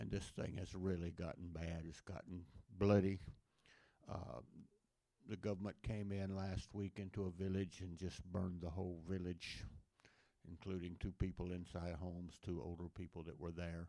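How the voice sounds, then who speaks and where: Speaking at a moderate pace with an American accent, a man has a very deep, low, dark and mellow voice and fairly even intonation. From Louisiana, US South. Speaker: missionary preacher. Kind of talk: sermon. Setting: church.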